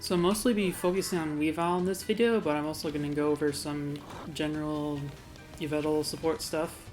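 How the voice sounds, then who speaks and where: A woman with a very deep, low pitch mumbles at a fairly quick pace with ordinary pitch variation while music plays in the background. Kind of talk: game tutorial commentary. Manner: a bit mumbly; casual, hesitant with fillers.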